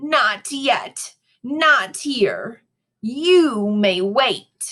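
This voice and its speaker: A woman puts on a character voice, pitched high with lively intonation. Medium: read story. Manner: terse, authoritative.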